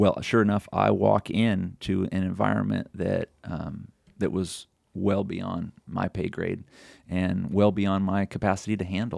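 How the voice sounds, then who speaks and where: A man with an American accent, very deep and low in pitch, vocal fry, monotone, flat intonation, fairly slow pace, very clean recording with a silent background. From California, Sonoma County. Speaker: pastor. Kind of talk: interview, personal testimony. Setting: studio.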